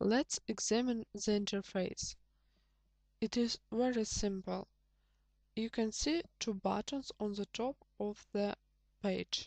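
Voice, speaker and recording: With a non-native accent, a woman speaks very slowly at a medium pitch, her pitch varying in an ordinary way, in a dry, close recording with no echo. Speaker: programming tutor. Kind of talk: tutorial.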